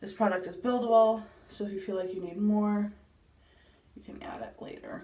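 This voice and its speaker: Audible room echo surrounds a woman's dark, mellow tone as she speaks with fairly even intonation and long, frequent pauses. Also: medium pitch for a woman, moderate pace. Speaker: beauty vlogger. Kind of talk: makeup tutorial. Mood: playful, relaxed. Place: bathroom. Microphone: phone near.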